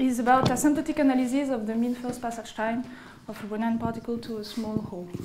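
A woman talks at a very fast pace with fairly even intonation. Noticeable background noise is present. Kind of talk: lecture. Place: hall.

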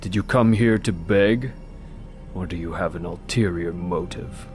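A man uses a put-on character voice with a very deep, low pitch. Clear background noise is present. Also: moderate pace. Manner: curt, dry, world-weary.

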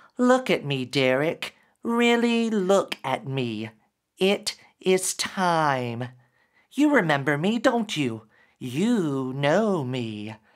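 Speaking very slowly, a man puts on a hissing character voice, fairly high in pitch, with very wide pitch swings. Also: very clean recording, silent background. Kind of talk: dramatic story reading. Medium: read story. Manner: hissing then warm. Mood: insistent, revealing.

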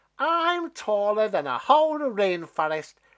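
With big pitch swings and a fairly bright tone, a man does a put-on character voice at a high pitch and a fairly slow pace.

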